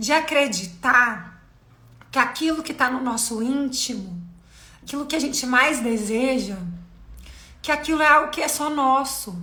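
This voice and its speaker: The raised, projected voice has a bright, sharp tone and ordinary pitch variation, with audible room echo. It moves fairly slowly, broken by long, frequent pauses. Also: woman, high pitch for a woman. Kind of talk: live stream talk on faith. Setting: live video stream.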